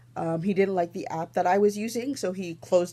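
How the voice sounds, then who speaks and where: A woman with a Canadian accent speaks at a fairly quick pace and a medium pitch. Her tone is dark and mellow, with ordinary pitch variation. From Toronto, Canada. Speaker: knitting podcaster. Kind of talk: casual vlog chat. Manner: fast.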